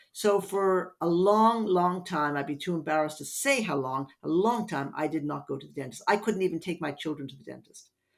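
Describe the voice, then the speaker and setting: A woman's fairly low-pitched voice with lively intonation, big swings in loudness, a fairly quick pace and hardly any pauses. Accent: Irish. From Ireland, Dublin. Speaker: hypnotherapist. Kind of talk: podcast interview.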